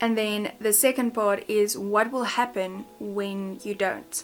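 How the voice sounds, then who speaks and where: A woman with a South African accent, fairly high in pitch, at a very slow pace. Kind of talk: casual talk to camera.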